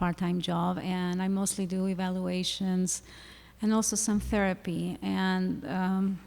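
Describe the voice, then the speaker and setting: A woman with a non-native accent speaks on a very clean recording with a silent background. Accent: noticeable non-native English. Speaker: school psychologist. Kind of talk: panel discussion. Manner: halting.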